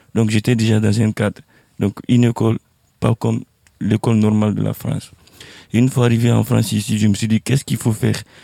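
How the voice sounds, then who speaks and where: With a dark, mellow tone and a fairly low pitch, a man speaks at a fairly quick pace in a flat monotone, leaving long, frequent pauses, in a dry, close sound with no echo. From Guinea. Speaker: artist. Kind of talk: panel discussion. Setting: outdoors.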